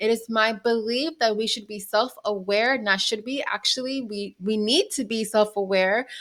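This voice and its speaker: A woman with a normal speaking voice and fairly high pitch talks at a moderate pace with fairly even intonation, on a very clean recording with a silent background. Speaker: business and mindset coach. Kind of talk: tutorial. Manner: casual, with fillers.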